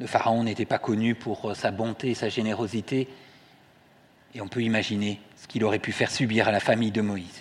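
With long, frequent pauses, a man speaks in a monotone, flat delivery at medium pitch. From southwest France, Toulouse. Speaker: lay preacher, care home director. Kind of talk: sermon. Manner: halting.

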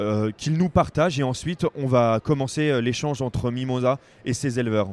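Recorded dry and close with no echo, a man talks fairly slowly at a medium pitch with ordinary pitch variation. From Picardie, northern France. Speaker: crowdfunding project manager. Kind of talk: interview. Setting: trade fair stand. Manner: hesitant, many fillers.

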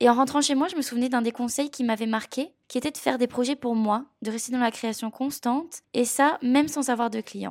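A woman speaks at a fairly quick pace with hardly any pauses, her pitch high and her intonation fairly even. The recording is very clean, with a silent background. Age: 20s. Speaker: podcast host, freelance graphic designer. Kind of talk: scripted narration.

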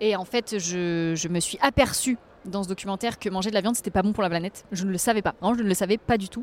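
Here is a woman with a plain, everyday voice, speaking fairly quickly at a medium pitch with ordinary pitch variation. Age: 20s. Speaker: environmental influencer. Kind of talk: casual interview. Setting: outdoors on a Paris street bench.

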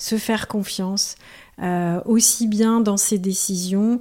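A woman speaks with monotone, flat intonation in a dark, mellow tone. The recording is very clean, with a silent background. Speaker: cancer patient. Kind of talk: testimony.

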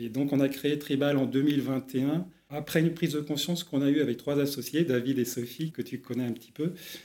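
The voice has a dark, mellow tone and fairly even intonation. It moves at a fairly quick pace. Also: man, fairly high pitch for a man. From Brittany, France. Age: 40s. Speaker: entrepreneur, startup co-founder. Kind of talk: interview. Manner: hesitant, many filler sounds.

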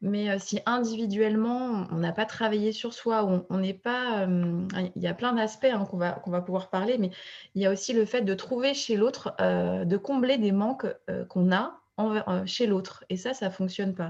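A woman with a plain, everyday voice talks fairly slowly at a medium pitch, her pitch varying in an ordinary way. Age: 30s. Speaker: fertility coach. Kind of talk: casual chat.

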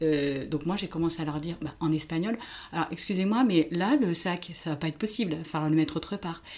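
The talking runs at a fairly quick pace, its pitch varying in an ordinary way, while noticeable background noise sits underneath. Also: woman, fairly low pitch for a woman. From France. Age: 50s. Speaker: therapist. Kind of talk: casual chat.

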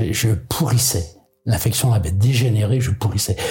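Audible room echo and noticeable background noise surround a man talking at a fairly quick pace. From Brittany, France (island of Molène). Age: 70s. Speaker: sailor and adventurer. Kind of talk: interview storytelling. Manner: halting with frequent repetitions.

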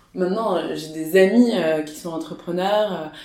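Ordinary pitch variation carries the voice over noticeable background noise. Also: woman. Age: 20s. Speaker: startup co-founder. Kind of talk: casual interview. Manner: hesitant, many fillers.

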